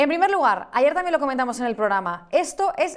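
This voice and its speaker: A woman with a high pitch. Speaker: news show host. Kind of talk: political talk show.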